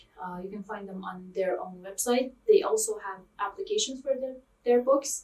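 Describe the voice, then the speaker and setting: With a Persian accent, a woman speaks at a fairly slow pace. Her pitch variation is ordinary. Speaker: language teacher. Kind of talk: tutorial. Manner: hesitant, many fillers.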